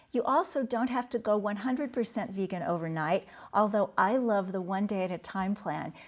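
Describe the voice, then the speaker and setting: A woman at medium pitch in a normal speaking voice, moderate pace and ordinary pitch variation, on a very clean recording with a silent background. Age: 60s. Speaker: author and speaker. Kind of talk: interview.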